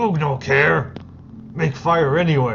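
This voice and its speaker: A put-on, raspy character voice at a low-to-middle pitch and fairly slow pace, over clear background noise. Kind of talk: tabletop game master character voice. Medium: actual play. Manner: broken third-person speech.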